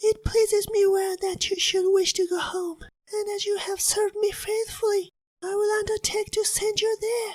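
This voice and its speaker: A female-sounding put-on character voice comes through. It is extremely high in pitch at a moderate pace. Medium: read story. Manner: kindly, motherly.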